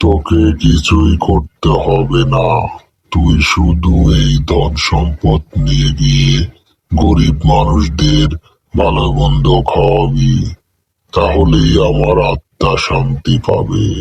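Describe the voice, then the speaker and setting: A cartoonish character voice from a man, very deep and low in pitch, delivered at a very slow pace. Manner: eerie, gloating.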